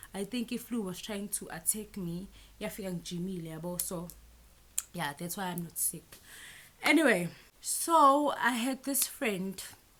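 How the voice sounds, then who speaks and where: With a Zulu accent, a woman talks at a moderate pace in a medium-pitched, bright, sharp tone, her intonation lively, her loudness swinging widely, and her speech broken by long, frequent pauses. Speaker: YouTuber. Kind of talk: storytime vlog. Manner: animated.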